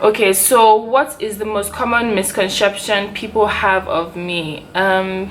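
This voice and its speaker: Against noticeable background noise, a woman talks at a fairly slow pace in a medium pitch with fairly even intonation. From Nigeria, Port Harcourt. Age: 20s. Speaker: YouTuber. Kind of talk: casual Q&A vlog. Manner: chatty, filler-heavy.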